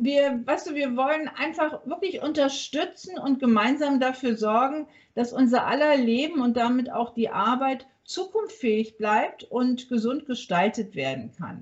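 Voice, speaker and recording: Her high pitch and lively intonation carry a woman's fairly slow speech, which has hardly any pauses. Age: 50s. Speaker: workplace health consultant and business owner. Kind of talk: podcast interview. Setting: remote recording from a hotel.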